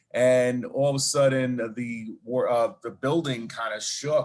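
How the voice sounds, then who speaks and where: With a Brooklyn accent, a man talks at a medium pitch. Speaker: charity event organizer and 9/11 survivor. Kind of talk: interview storytelling.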